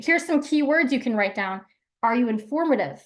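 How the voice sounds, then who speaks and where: With an energetic tone, a woman talks at a fairly quick pace and ordinary pitch variation. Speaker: branding workshop presenter. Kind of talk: live workshop talk. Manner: fast.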